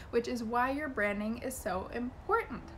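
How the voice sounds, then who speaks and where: A woman speaks in a high, animated tone. Audible room echo surrounds her voice. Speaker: business coach and YouTuber. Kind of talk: vlog tutorial. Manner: fast.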